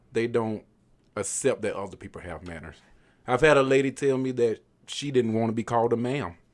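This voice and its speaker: A man with a Southern US accent talks at a fairly quick pace and a medium pitch, with ordinary pitch variation, big swings in loudness, and long, frequent pauses. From US South. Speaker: podcast guest. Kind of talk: casual chat.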